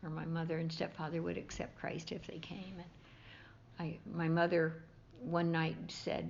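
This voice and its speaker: In a fairly low pitch, a woman talks with monotone, flat intonation and vocal fry. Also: moderate pace. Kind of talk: interview answer. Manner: warm.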